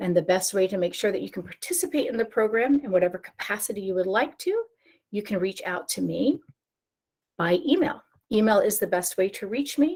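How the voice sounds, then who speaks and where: At a fairly quick pace, a woman with an American accent and a medium pitch speaks with very wide pitch swings. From New Jersey. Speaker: program coordinator presenter. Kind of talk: webinar presentation. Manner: fast.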